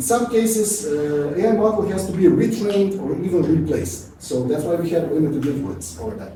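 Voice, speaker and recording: Speaking at a fairly quick pace, a man with a Serbian accent uses lively intonation. Audible room echo and noticeable background noise surround his voice. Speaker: QA automation engineer, conference speaker. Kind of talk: conference talk. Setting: stage with audience. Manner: fast.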